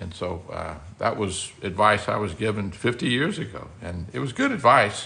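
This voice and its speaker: Pitched fairly low, a man's voice carries a bright, sharp tone and lively intonation at a moderate pace. Room echo is audible. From Louisiana, Baton Rouge. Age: 60s. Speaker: architect. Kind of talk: live stream chat. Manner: halting, many fillers.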